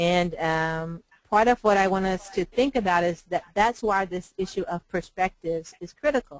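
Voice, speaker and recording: Heard with a dry, close sound and no echo, a woman speaks at a medium pitch in an American accent. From Oklahoma. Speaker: public health lecturer. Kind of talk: webinar lecture. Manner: fast; halting with fillers.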